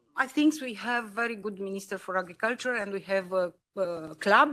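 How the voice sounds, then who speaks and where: In a Romanian accent, a woman speaks at a moderate pace and medium pitch with ordinary pitch variation. Her tone is bright and sharp, and the recording is very clean with a silent background. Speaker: politician. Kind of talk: panel discussion. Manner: halting.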